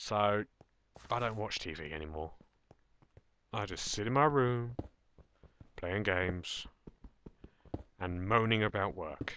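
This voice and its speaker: An English accent comes through in a bright, sharp tone with lively intonation at a fairly slow pace. The sound is dry with no echo, over light background noise. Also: man. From England. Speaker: gaming video creator. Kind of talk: gameplay commentary. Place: home room.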